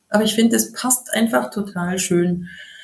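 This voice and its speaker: Speaking at a moderate pace, a woman with a Bavarian accent has a medium pitch and ordinary pitch variation. Her tone is dark and mellow, and somewhat breathy. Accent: Bavarian, rolled R. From Bavaria, near Munich. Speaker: yoga teacher. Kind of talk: casual interview.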